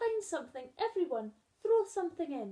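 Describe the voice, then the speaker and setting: A woman puts on a character voice at an extremely high pitch. Her pitch swings very widely at a moderate pace. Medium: read story.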